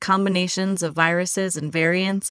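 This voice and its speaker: A woman speaks at a moderate pace and medium pitch in an ordinary speaking voice. The sound is dry and close with no echo, a very clean recording with a silent background. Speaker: podcast host and public health researcher. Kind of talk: interview.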